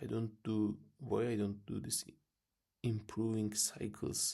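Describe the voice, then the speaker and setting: Very slowly, a man whispers. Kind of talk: casual talk to camera. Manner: whispered.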